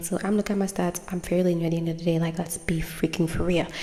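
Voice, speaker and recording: Over noticeable background noise, a woman speaks with a non-native accent. Her pitch is fairly low with ordinary variation. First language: not English. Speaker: tarot card reader. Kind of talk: casual chat to camera, intro of a tarot reading. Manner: casual, rambling with fillers.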